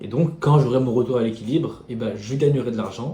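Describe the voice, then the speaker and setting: At a moderate pace, a man speaks in a medium pitch with a somewhat breathy, dark, mellow tone and ordinary pitch variation, with audible room echo around him. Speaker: day trader. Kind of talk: tutorial. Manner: mumbling.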